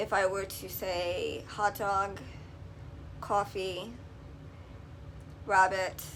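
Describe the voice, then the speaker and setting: A woman with a New York accent speaks very slowly, with long, frequent pauses. Her medium-pitched voice has vocal fry and a flat, monotone intonation. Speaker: video blogger. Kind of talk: casual vlog talk to camera. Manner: hesitant, many filler ums.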